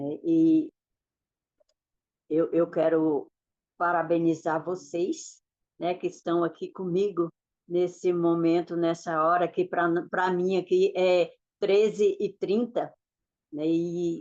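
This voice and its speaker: A woman speaks at a very slow pace in a flat monotone, leaving long, frequent pauses. The background is quiet. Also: fairly low pitch for a woman. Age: 60s. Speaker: motivational speaker and mentor. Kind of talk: online masterclass talk. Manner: halting, with repetitions.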